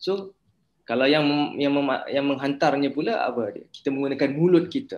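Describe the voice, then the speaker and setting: A fairly quick man's voice, fairly high in pitch, with a Malaysian accent and ordinary pitch variation. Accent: Malaysian Malay. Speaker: university lecturer. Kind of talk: lecture.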